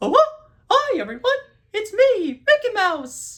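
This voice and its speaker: This put-on character voice sits at an extremely high pitch, with very wide pitch swings. The pace is fairly slow. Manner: cheerful, exaggerated.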